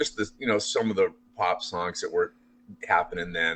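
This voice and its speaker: Man with an American accent, an ordinary speaking voice, fairly low pitch, fairly even intonation, and a fairly quick pace. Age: 60s. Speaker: rock musician. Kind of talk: casual interview.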